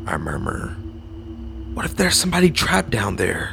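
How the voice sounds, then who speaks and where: A man's speech with very wide swings in pitch moves at a moderate pace, and background noise is noticeable. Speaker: horror story podcast narrator. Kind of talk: spooky storytelling read aloud. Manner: suspenseful, measured narration building dread; voices characters, gentle tone for the mother.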